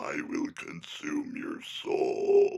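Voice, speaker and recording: A man puts on a raspy character voice at an extremely high pitch. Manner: menacing.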